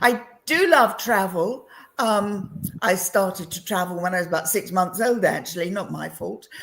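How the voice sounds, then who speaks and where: A woman with a southern English accent at a moderate pace, medium pitch, ordinary pitch variation and big swings in loudness. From England (London). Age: 70s. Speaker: entrepreneur and women's coach. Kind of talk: interview chat.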